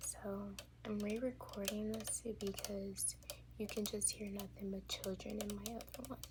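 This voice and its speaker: A woman talks over noticeable background noise. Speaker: ASMR creator. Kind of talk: ASMR toy show-and-tell. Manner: soft-spoken, whispered.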